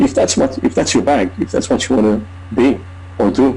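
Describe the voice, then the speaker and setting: A man speaks with a non-native accent. Noticeable background noise runs behind him. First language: not English. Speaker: online marketer. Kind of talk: testimony. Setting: video call.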